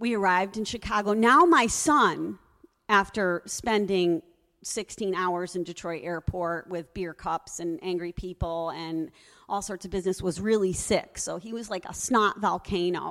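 A normal speaking voice with an American accent, fairly slow pace and ordinary pitch variation, on a very clean recording with a silent background. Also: woman, medium pitch for a woman. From US Northeast, Connecticut. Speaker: storyteller. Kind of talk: live storytelling. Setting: stage with audience.

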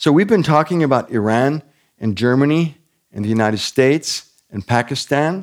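Here a man has a normal speaking voice, talking at a moderate pace with lively intonation at a fairly high pitch. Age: 60s. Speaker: missionary pastor. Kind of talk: sermon. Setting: church service with congregation.

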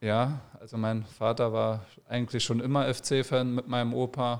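A man's medium-pitched, flat, monotone delivery on a very clean recording with a silent background. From Saarland, Germany. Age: 30s. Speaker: professional footballer. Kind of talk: casual interview.

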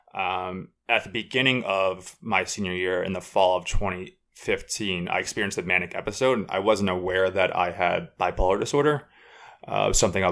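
Speaking at a fairly quick pace with an American accent, a man has a fairly low pitch, a bright, sharp tone and fairly even intonation, recorded very cleanly with a silent background. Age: 20s. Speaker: sports writer. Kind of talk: casual chat.

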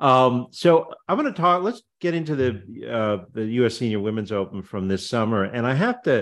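Against a quiet background, a man with an ordinary speaking voice talks at medium pitch and a moderate pace, with lively intonation and hardly any pauses. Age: 60s. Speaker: podcast host. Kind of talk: interview.

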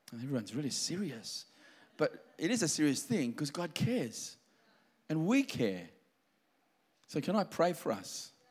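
The speaker uses vocal fry, very wide pitch swings and long, frequent pauses, captured in a very clean recording with a silent background. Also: man, fairly high pitch for a man, moderate pace. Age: 50s. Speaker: pastor. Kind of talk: sermon.

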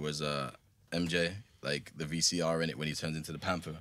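The recording is very clean, with a silent background. A man speaks in a very deep, low pitch. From South Africa and Jersey. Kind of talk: casual chat.

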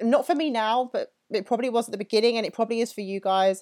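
A fairly high-pitched woman with an English accent in a very clean recording with a silent background. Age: 30s. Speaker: fitness coach. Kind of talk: casual monologue.

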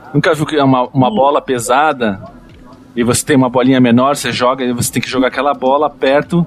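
A man speaks at a very fast pace and medium pitch with fairly even intonation. Noticeable background noise runs underneath. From Rio Grande do Sul, Santa Maria. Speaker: podcast panelist. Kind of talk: casual chat.

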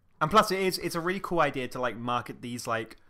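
In a very clean recording with a silent background, a man with an English accent speaks in a bright, sharp tone. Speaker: film podcast co-host. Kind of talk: casual chat. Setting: home recording in a flat.

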